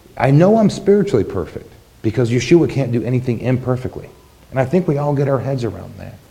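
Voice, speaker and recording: Amid noticeable background noise and audible room echo, a man of medium pitch talks at a fairly quick pace with lively intonation. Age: 40s. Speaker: congregation elder giving the sermon. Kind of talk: sermon. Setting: congregation service.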